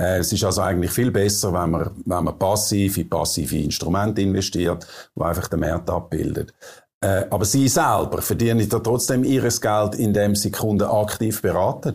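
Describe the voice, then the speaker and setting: A man with a fairly low pitch, ordinary pitch variation, very even loudness and a moderate pace. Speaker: interviewer. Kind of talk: interview.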